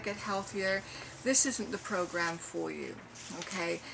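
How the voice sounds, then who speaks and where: Background noise is noticeable throughout. The speaking runs at a moderate pace. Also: woman. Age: 60s. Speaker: personal trainer and medical exercise specialist. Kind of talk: sales pitch. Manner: hesitant with frequent fillers.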